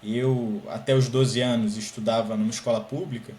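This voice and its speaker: A man with a Carioca accent speaks at a medium pitch, with audible room echo and noticeable background noise. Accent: carioca (Rio de Janeiro) Portuguese. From Brazil, Rio de Janeiro. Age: 20s. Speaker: scholarship student, master's student. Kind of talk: podcast interview.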